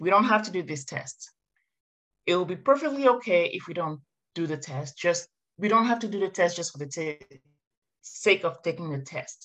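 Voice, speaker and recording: Speaking in a French accent at a moderate pace, a woman with a fairly low pitch uses lively intonation, big swings in loudness, and long, frequent pauses. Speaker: marketing consultant, former professor. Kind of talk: interview podcast.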